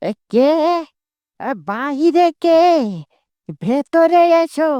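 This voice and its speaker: This is a cartoonish character voice. Its pitch is high. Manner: gruff, commanding.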